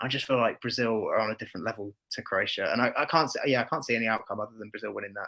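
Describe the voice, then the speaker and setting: A man with an English accent races along at a very fast pace with hardly any pauses, his bright, sharp voice at medium pitch with ordinary pitch variation. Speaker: football podcast co-host and content creator. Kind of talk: casual chat.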